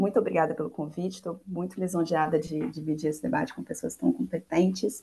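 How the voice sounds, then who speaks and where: A woman's fairly low voice, dark and mellow with vocal fry, moves at a moderate pace with lively intonation. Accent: Brazilian. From Brazil. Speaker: machine learning engineer; panelist. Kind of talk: presentation; panel talk. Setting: video call. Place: home room. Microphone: earbuds.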